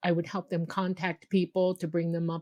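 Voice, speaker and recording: Here a woman with a fairly low pitch talks at a fairly quick pace in an American accent. The sound is dry and close with no echo, over a quiet background. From Miami, Florida. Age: 60s. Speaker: UFO contactee. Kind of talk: interview testimony.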